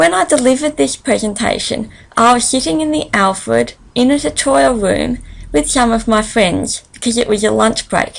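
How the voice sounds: This woman talks at a moderate pace in a fairly high pitch, with ordinary pitch variation and vocal fry.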